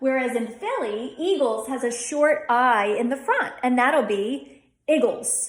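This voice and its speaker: At a very slow pace, the speaker's pitch varies in an ordinary way. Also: woman. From Delaware County, Pennsylvania. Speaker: dialect coach. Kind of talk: tutorial talk to camera.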